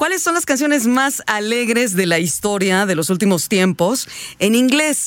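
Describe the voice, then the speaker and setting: A woman's fairly high voice swings very widely in pitch against noticeable background noise. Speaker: radio host. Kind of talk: casual chat.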